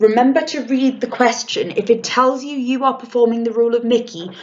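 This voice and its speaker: Here a woman speaks with a British accent. Her pitch is fairly high and her pace moderate. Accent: RP. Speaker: drama teacher. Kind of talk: tutorial. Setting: recorded lesson video. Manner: casual, with fillers.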